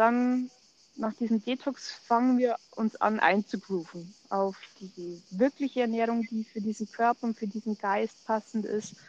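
In a normal speaking voice, fairly high in pitch, a woman talks at a fairly slow pace with fairly even intonation, the sound dry and close with no echo. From Germany, Munich. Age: 40s. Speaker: ayurveda coach, podcast co-host. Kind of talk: casual chat.

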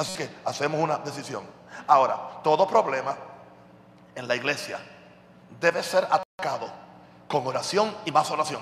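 With an animated tone and ordinary pitch variation, the speaker leaves long, frequent pauses over noticeable background noise. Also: man, fairly high pitch for a man, moderate pace. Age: 60s. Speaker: pastor. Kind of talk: sermon.

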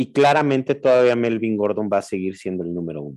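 A man uses an ordinary speaking voice at a medium pitch, with ordinary pitch variation. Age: 40s. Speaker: fantasy football podcast co-host. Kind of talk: casual chat.

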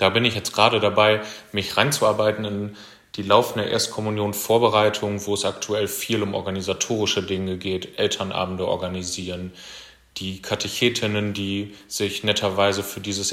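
A man's fairly low voice in a flat monotone. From Germany, Kreis Steinfurt (Münsterland). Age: 20s. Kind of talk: self-introduction monologue.

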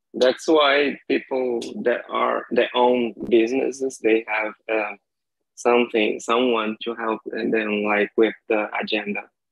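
Speaking with a Brazilian accent at a very slow pace, a man keeps a medium pitch and fairly even intonation. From Brazil, Maranhão (São Luís). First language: Portuguese. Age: 30s. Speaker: language learner. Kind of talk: casual chat.

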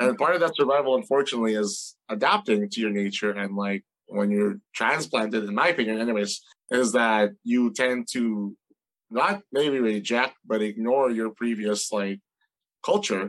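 At a moderate pace, a man uses a normal speaking voice at a medium pitch with ordinary pitch variation. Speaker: chef. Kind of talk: casual interview. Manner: casual, conversational.

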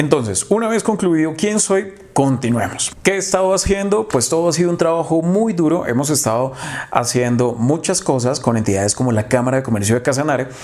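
A man talks at a fairly quick pace with a fairly high pitch and very wide pitch swings. His loudness stays very even over noticeable background noise. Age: 20s. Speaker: marketing consultant. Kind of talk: tutorial.

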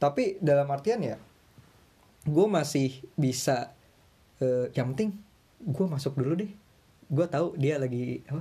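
Somewhat breathy and dark, mellow in tone, this man's voice sits fairly high with ordinary pitch variation. He leaves long, frequent pauses. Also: fairly slow pace. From Indonesia. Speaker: university student abroad. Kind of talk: casual chat.

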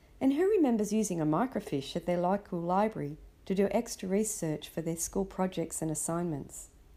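With an Australian accent and a fairly quick pace, a woman speaks at medium pitch in a dark, mellow tone, her pitch varying in an ordinary way, on a very clean recording with a silent background. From Sydney, Australia. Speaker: parenting podcaster. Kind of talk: scripted narration.

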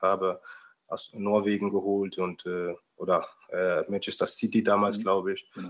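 A man is speaking. His pitch is fairly low. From Germany, Palatinate (Pfalz). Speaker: former professional footballer. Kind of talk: interview. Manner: halting, many repetitions and fillers.

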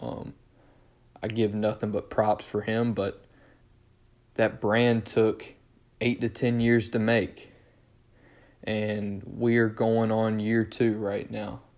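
In a very clean recording with a silent background, a man with a North Carolina accent speaks at a very slow pace and a fairly low pitch, his intonation monotone and flat, with long, frequent pauses. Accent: Southern US (North Carolina). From North Carolina, Durham area. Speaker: sports podcast host. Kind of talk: solo casual monologue.

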